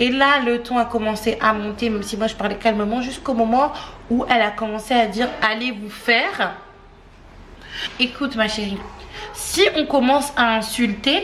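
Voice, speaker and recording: There is noticeable background noise and audible room echo. A woman talks at a fairly slow pace in a fairly high pitch. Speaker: family vlogger. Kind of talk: casual chat to camera. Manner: animated.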